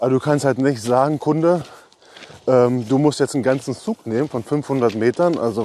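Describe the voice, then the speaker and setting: Noticeable background noise sits under fairly quick speech with ordinary pitch variation, in a dry, close sound with no echo. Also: man. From eastern Germany, Brandenburg. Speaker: railway wagon inspector supervisor. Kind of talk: casual interview during a site tour.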